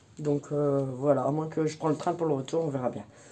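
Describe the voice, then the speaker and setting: This woman's voice is very deep and low, with a dark, mellow tone. She speaks at a moderate pace. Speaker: family vlogger. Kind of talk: casual vlog talk. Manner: casual, hesitant with many fillers.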